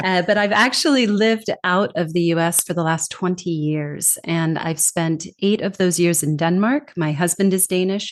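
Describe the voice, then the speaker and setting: With a Californian accent, a woman speaks at a fairly low pitch and moderate pace, with ordinary pitch variation and hardly any pauses. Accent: American, from California. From California, US. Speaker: communication trainer and author. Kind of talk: podcast interview. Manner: lively.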